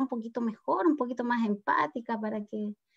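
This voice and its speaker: Fairly high in pitch, a woman talks in an ordinary speaking voice. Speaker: parent of a child who stutters. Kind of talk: interview.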